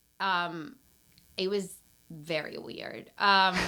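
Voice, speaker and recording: A woman with a Peruvian accent speaks in a bright, sharp tone on a very clean recording with a silent background. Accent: Peruvian Spanish accent, noticeable. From Peru, Lima. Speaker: brand strategist and entrepreneur. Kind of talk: casual interview chat. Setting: podcast recorded in a closet.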